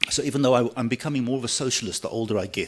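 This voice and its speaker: Speaking at a very fast pace, a man is heard. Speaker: pensions actuary. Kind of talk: conference talk.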